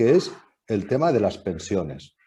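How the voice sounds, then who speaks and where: A man's dark, mellow tone at a fairly slow pace. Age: 60s. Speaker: foundation president. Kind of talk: panel discussion remarks. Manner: halting, many fillers.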